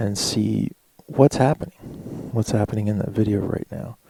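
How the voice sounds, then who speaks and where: A man talks with vocal fry at a fairly low pitch, his tone dark and mellow. The sound is dry and close, with no echo. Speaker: YouTuber. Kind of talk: tutorial.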